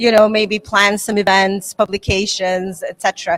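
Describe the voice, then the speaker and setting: A woman's medium-pitched voice with a Serbo-Croatian accent at a moderate pace, with a dry, close sound and no echo. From Bosnia and Herzegovina. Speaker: English teacher and teachers association president. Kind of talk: interview. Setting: conference.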